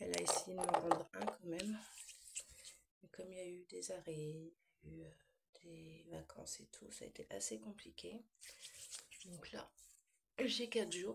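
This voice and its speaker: The speaker has a relaxed tone and a moderate pace, with long, frequent pauses. Loudness swings a lot. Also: woman. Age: 40s. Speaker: vlogger. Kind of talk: casual chat.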